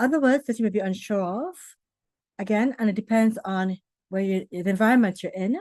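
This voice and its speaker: A woman's fairly high voice with a Trinidadian accent, dry and close with no echo, against a quiet background. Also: ordinary pitch variation, fairly quick pace. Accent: Trinidadian English, practiced clear diction. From Trinidad and Tobago. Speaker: public speaking coach. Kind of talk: online talk answering questions. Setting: video call.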